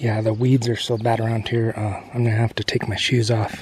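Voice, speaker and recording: Noticeable background noise surrounds a soft-spoken man with a relaxed tone and fairly low pitch. He talks at a fairly quick pace in monotone, flat intonation. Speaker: fishing video host. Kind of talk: outdoor vlog narration. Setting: outdoors. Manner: casual, relaxed.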